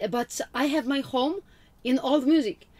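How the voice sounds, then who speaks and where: A woman speaks at a fairly slow pace with a Russian accent and ordinary pitch variation, in a very clean recording with a silent background. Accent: almost-Russian. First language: Polish. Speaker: witch, spiritual vlogger. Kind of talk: casual talk to camera.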